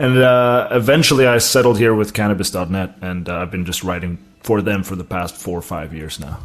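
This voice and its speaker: A speaker with an American accent talks at a fairly quick pace with hardly any pauses. The intonation is lively. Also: man, fairly low pitch for a man. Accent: sounds American to people. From South Africa. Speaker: cannabis writer. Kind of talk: interview.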